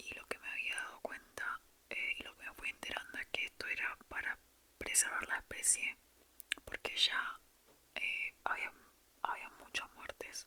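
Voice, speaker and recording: A woman whispers at a fairly slow pace with long, frequent pauses. Noticeable background noise sits behind her. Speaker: ASMR creator. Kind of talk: whispered ASMR storytelling. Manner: whispered.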